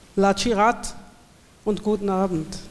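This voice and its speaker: A woman at a medium pitch, speaking at a very slow pace with fairly even intonation, amid noticeable background noise. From Swabia, southern Germany. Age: 40s. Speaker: poet and event host. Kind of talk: poetry reading event, introduction and reading aloud. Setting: live reading in a school hall with audience.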